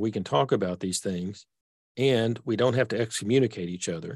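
With a Texas accent, a man speaks at a medium pitch. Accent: Texas accent, persistent. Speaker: author and theologian. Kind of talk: interview conversation. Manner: simple, unpretentious delivery.

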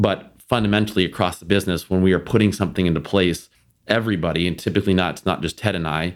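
Delivered at a very fast pace with fairly even intonation, the speech is captured in a very clean recording with a silent background. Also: man. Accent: American. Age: 30s. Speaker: food company vice president. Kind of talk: interview conversation.

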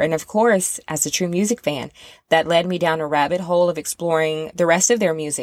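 A woman with an American accent talks fairly quickly in a plain, everyday voice with fairly low pitch. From US South. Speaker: music podcast host, former rock music journalist. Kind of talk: casual monologue podcast.

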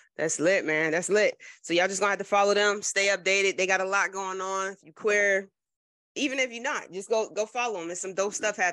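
A woman with an American accent talks at a fairly quick pace in a bright, sharp tone and medium pitch. Her loudness swings widely against a quiet background. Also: ordinary pitch variation. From US Northeast, New Jersey. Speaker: podcast host. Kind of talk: interview.

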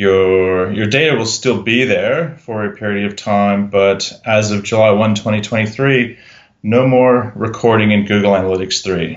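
A man speaks at a fairly slow pace. His pitch is fairly low and his intonation fairly even. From Canada. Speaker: SEO consultant and blogger. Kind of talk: casual interview chat.

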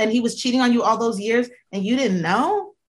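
A woman's very fast, animated, high-pitched speech. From US, military kid, born in Georgia. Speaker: podcast guest, friend of host. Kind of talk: casual chat.

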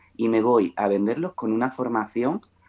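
The voice has a dark, mellow tone and a fairly slow pace. The sound is dry and close, with no echo. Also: man. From Melilla, Spain. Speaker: makeup artist and beauty consultant. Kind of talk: podcast interview.

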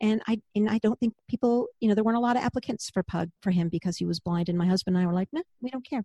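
A woman talks at a very fast pace, somewhat breathy, with ordinary pitch variation. The sound is dry and close, with no echo. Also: fairly high pitch for a woman. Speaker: podcast host, former vet tech, author. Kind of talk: casual chat.

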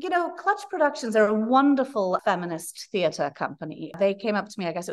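In a Welsh accent, a woman speaks at a very fast pace with hardly any pauses. Her fairly high pitch swings very widely. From Wales. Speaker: playwright. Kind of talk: interview. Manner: animated.

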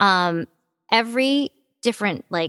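A woman speaks with an American accent. The recording is very clean, dry and close with no echo and a silent background. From US Midwest, Detroit, Michigan. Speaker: voice actor. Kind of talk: casual interview chat.

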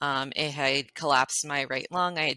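With an American accent, this bright, sharp-toned voice shows ordinary pitch variation in a dry, close recording with no echo. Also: woman. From Florida. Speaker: cancer survivor. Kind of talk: interview, personal story. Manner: soft-spoken; halting, many fillers.

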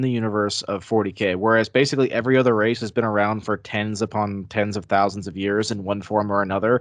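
A man with a normal speaking voice and fairly low pitch speaks at a fairly quick pace. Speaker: podcaster. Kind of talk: casual chat.

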